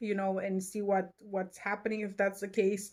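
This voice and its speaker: A woman with a non-native accent speaks at a medium pitch. Her delivery is fairly slow and monotone, with flat intonation. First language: not English. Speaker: tarot and astrology reader. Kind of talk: horoscope reading to camera. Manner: halting, many fillers; casual, chatty.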